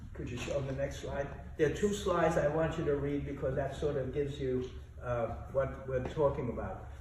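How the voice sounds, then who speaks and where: Noticeable background noise and audible room echo fill the recording. The man speaks at a moderate pace. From Austria, Vienna. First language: German. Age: 80s+. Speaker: Holocaust survivor. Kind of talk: testimony talk to students. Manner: halting.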